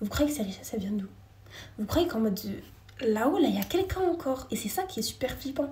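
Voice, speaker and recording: A woman with a dark, mellow tone and vocal fry talks at a very fast pace, her pitch swinging very widely. Audible room echo surrounds her voice. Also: fairly high pitch for a woman. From France. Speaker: live streamer. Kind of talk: casual live chat with viewers.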